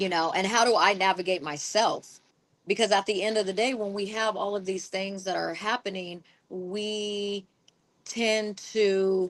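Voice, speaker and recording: Speaking fairly slowly in a plain, everyday voice, a woman keeps a medium pitch and fairly even intonation. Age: 40s. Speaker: podcast co-host. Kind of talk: casual chat.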